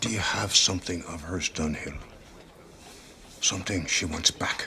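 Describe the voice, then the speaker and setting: A put-on character voice plays out against clear background noise. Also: man, very deep, low pitch for a man, moderate pace. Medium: short film. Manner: blunt, gruff.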